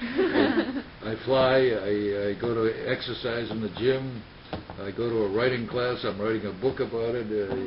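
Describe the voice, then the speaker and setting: There is noticeable background noise as a man with an American accent speaks in a flat monotone. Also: medium pitch for a man. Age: 90s. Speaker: war veteran. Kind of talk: interview. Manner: halting.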